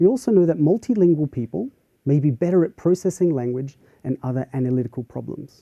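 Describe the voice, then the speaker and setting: A man with an Australian accent speaks very fast in a fairly high pitch, his intonation lively. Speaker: university professor. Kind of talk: lecture.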